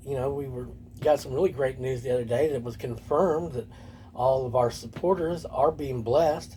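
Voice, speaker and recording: At a moderate pace, a man speaks in a medium pitch with ordinary pitch variation. His voice is somewhat breathy, with a dark, mellow tone. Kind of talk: casual vlog monologue. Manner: whispering; halting.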